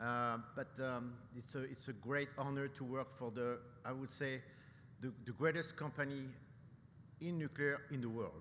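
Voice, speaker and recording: Audible room echo surrounds a man speaking at a medium pitch with fairly even intonation. He keeps a moderate pace with long, frequent pauses. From France, Paris. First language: French. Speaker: nuclear industry executive, keynote speaker. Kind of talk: keynote speech. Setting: conference stage with audience. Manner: hesitant, many fillers and repetitions.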